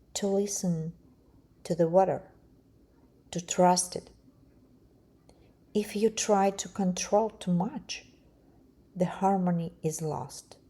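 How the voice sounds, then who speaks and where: Very slow and calm, a woman's soothing voice has a dark, mellow tone, somewhat breathy, with fairly even intonation and long, frequent pauses. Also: medium pitch for a woman. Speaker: art channel host, marbling artist. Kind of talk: meditative art narration. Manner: calm, slow, soothing.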